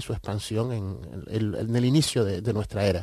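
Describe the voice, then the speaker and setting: A man speaks in a dark, mellow tone, and the sound is dry and close with no echo over a quiet background. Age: 50s. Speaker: writer and researcher of Canarian culture. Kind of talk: radio interview.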